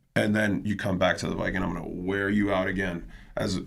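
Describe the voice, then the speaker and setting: The recording carries an audible room echo. Music plays in the background. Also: man. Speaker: fitness instructor. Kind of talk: casual chat. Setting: live stream. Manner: loud.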